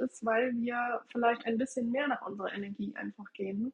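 This woman's voice sits fairly high. Her pace is moderate. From northern Germany, near Bremen. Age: 30s. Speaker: human design coach. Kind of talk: interview.

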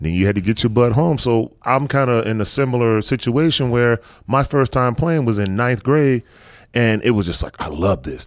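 An unremarkable speaking voice from a man at medium pitch, lively intonation and moderate pace, on a very clean recording with a silent background. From North Carolina. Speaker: podcast host, sports parent. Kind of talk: casual interview chat.

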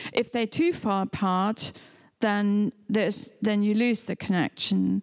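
Fairly high in pitch and in a German accent, a woman speaks very slowly with fairly even intonation, the sound dry and close with no echo. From Germany (near Hamburg). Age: old. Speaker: photographer. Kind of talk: public conversation. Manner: halting.

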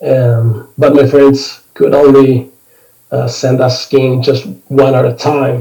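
A very slow, somewhat breathy delivery in a Spanish accent, dark and mellow in tone with fairly even intonation. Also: man, medium pitch for a man. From Argentina, northern Patagonia. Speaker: ski instructor and medical doctor. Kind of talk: interview conversation. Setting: remote call. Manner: halting.

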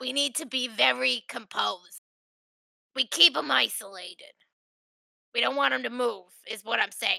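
Using a put-on character voice with a menacing tone, a woman speaks at a fairly high pitch and a moderate pace, with long, frequent pauses. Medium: actual play. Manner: gruff, blunt, menacing.

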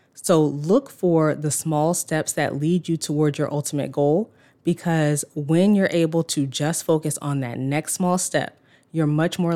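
A woman speaks at a moderate pace in a very deep, low pitch and a dark, mellow tone, with fairly even intonation. The sound is dry and close with no echo, on a very clean recording with a silent background. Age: 30s. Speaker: podcast host, former lawyer. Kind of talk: solo podcast monologue.

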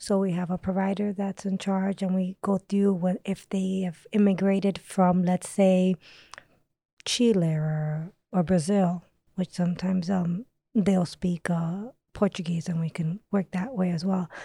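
Flat, monotone delivery from a woman with an American accent, medium pitch, a dark, mellow tone, somewhat breathy, at a fairly slow pace, in a dry, close sound with no echo. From US, part of youth in Dominican Republic. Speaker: nurse. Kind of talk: interview.

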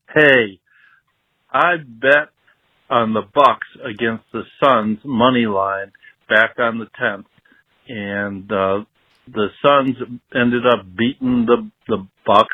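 With a Midwestern accent, a man speaks at a very slow pace with long, frequent pauses. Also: medium pitch for a man, ordinary pitch variation. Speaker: caller leaving voicemail. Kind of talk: voicemail message. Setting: phone voicemail.

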